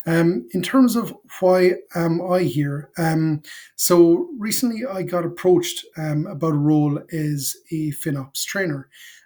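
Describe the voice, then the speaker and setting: A man with an Irish accent speaks at a high pitch with a dark, mellow tone. His pace is fairly slow, with ordinary pitch variation. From Ireland, Cork. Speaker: FinOps consultant and educator. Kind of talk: casual talk to camera. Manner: halting, many fillers.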